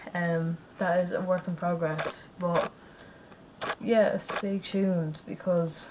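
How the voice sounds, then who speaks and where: A woman's fairly low voice carries fairly even intonation over noticeable background noise. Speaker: vlogger. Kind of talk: casual vlog chat. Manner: flat, low energy; casual, rambling with restarts.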